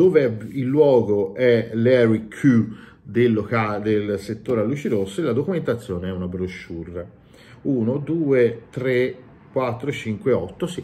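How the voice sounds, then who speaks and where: A man's somewhat breathy, dark and mellow voice at a very slow pace. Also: medium pitch for a man, lively intonation. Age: 40s. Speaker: YouTuber and tabletop game master; YouTuber. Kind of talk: game review monologue. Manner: animated. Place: home room. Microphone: webcam.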